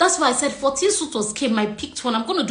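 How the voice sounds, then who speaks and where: With a Nigerian accent, the speaker has lively intonation and an animated tone, heard through audible room echo and noticeable background noise. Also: woman. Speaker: relationship coach. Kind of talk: casual chat. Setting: video call.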